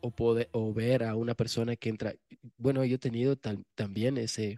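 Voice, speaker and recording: Against a quiet background, a man speaks fairly quickly with monotone, flat intonation. His tone is dark and mellow, with a dry, close sound and no echo. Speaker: podcast co-host. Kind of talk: casual chat.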